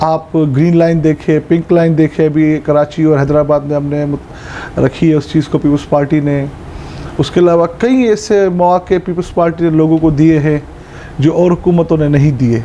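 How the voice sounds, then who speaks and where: The intonation is fairly even and the loudness very even. Noticeable background noise sits behind the voice. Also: man, fairly high pitch for a man. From Pakistan, Sindh (Tharparkar). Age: 20s. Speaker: politician. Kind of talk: interview.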